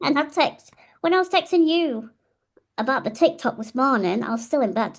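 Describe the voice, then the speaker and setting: A woman's high, animated voice with a Yorkshire accent, very wide pitch swings and a moderate pace. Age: 30s. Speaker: podcast co-host. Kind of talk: casual chat.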